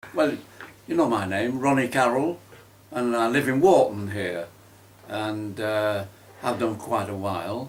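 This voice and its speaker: A man speaks at a fairly slow pace with long, frequent pauses and ordinary pitch variation, amid noticeable background noise and audible room echo. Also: medium pitch for a man. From northern England, Manchester. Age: 80s+. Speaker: war veteran. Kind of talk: oral history interview. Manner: hesitant, many fillers; animated.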